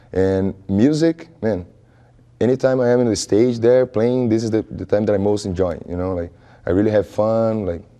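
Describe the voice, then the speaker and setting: A man with a Brazilian accent, a fairly low pitch and a dark, mellow tone, at a moderate pace with ordinary pitch variation. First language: Portuguese. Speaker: music student and musician. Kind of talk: interview. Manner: halting.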